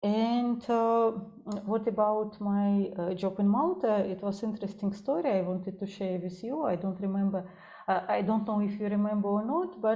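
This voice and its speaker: A woman speaks at medium pitch with a Russian accent, somewhat breathy, her tone dark and mellow. Her intonation stays fairly even at a moderate pace, and room echo is audible. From Russia, Saint Petersburg. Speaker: psychologist. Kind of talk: interview. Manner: halting, many fillers.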